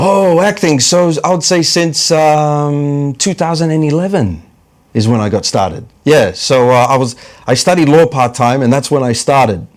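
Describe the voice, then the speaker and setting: A man with an American accent speaks at a moderate pace in a fairly high pitch, with lively intonation and very even loudness. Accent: New York accent with some Australian. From New York (Bronx), US. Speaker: comedian and actor. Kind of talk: casual interview chat.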